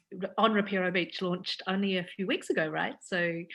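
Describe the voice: With a bright, sharp tone, a woman speaks at medium pitch and a moderate pace.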